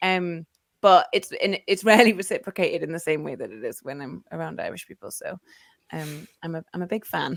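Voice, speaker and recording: In a slight Geordie accent, a woman talks at a fairly quick pace with big swings in loudness, the sound dry and close with no echo. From northern England, Newcastle. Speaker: football podcaster. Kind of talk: casual chat.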